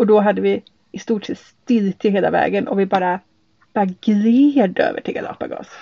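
At a moderate pace and with ordinary pitch variation, a woman talks in a plain, everyday voice. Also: medium pitch for a woman. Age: 40s. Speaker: sailing podcast host, hydrogeologist. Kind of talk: casual chat. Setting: on board a sailboat.

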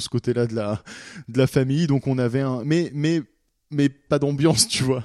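A man's dark, mellow tone at medium pitch, moderate pace and fairly even intonation, on a very clean recording with a silent background and a dry, close sound with no echo. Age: 20s. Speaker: anonymous storyteller. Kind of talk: personal testimony. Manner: halting, with fillers and repetitions.

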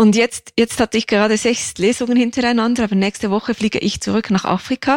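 Words come very fast with hardly any pauses, in very even loudness and fairly even intonation. The recording is very clean, with a silent background and a dry, close sound with no echo. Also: woman, fairly high pitch for a woman. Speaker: crime novelist and former court reporter. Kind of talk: interview conversation.

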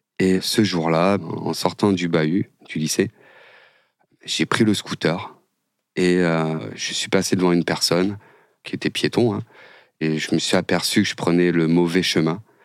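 In a very clean recording with a silent background, a man talks in a very deep, low voice. His pace is fairly slow, with long, frequent pauses and fairly even intonation. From northern France suburbs. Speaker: former prisoner, construction business owner. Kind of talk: personal testimony interview. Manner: halting, many fillers.

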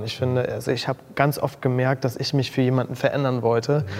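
A man talking very fast over noticeable background noise. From Mecklenburg-Vorpommern, northeastern Germany. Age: 20s. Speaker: make-up artist and influencer. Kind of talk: casual interview chat.

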